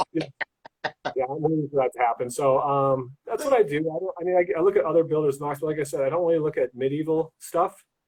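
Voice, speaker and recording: The speech moves at a very fast pace. It sounds somewhat breathy. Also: man. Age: 40s. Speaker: lego builder. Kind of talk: casual chat. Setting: livestream interview.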